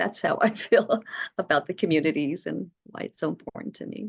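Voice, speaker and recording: A woman with an American accent speaks at a medium pitch with vocal fry and lively intonation. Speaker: preschool director. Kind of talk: oral history interview answer. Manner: hesitant, many fillers.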